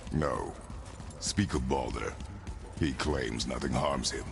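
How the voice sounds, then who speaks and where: Loud music in the background behind a man's put-on character voice at a fairly slow pace. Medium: video game. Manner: curt, gruff.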